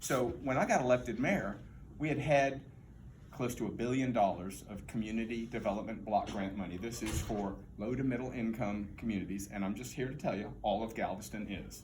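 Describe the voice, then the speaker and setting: With audible room echo, a man in an American accent speaks at a fairly quick pace, medium in pitch with ordinary pitch variation. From Texas, Houston. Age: 60s. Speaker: political candidate, former mayor. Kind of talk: campaign speech. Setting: political forum with audience.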